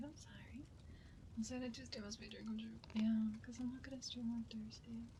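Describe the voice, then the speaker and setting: Someone whispers in a soft-spoken way at a fairly quick pace. Noticeable background noise runs underneath. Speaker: ASMR streamer. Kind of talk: ASMR live stream talk. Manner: soft-spoken, whispered.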